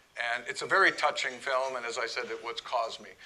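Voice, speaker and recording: A man speaks at a moderate pace, with noticeable background noise. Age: 60s. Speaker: club president giving a talk. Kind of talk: talk to an audience. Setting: room with live audience.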